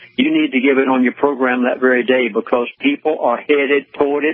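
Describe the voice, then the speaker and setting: Against noticeable background noise, a man talks at a moderate pace with a fairly high pitch and fairly even intonation. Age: 70s. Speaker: pastor and conspiracy commentator. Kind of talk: radio interview. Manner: earnest, pleading.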